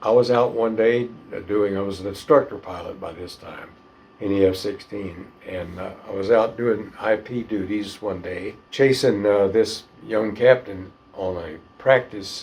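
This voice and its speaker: Against noticeable background noise, a man with an American accent speaks fairly slowly at a fairly low pitch, his intonation fairly even but his loudness swinging widely. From northern Florida. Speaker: retired fighter pilot. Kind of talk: interview answer.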